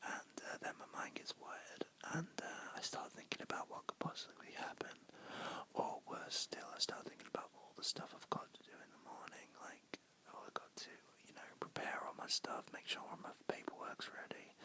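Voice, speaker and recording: A man whispers at a moderate pace. His loudness swings widely. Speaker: ASMR creator. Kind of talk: ASMR whisper ramble. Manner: whispered.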